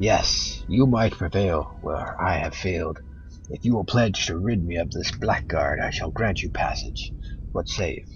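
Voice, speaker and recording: Over clear background music, a man puts on a booming character voice at a moderate pace. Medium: game stream. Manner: solemn, archaic.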